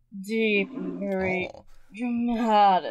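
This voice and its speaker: In a put-on character voice, a female-sounding speaker talks at a medium pitch. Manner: very dramatic.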